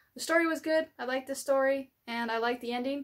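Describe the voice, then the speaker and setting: A woman speaks at a fairly quick pace. The background is quiet. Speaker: gaming channel host. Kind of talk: casual vlog chat. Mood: upbeat, friendly. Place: home room.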